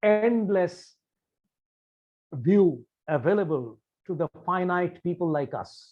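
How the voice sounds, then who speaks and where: Talking very slowly in a Bengali accent, a man uses a high voice with ordinary pitch variation. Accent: Indian English, Bengali. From India, Bengal. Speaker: meditation practitioner sharing his views. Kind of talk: talk to camera on meditation. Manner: formal.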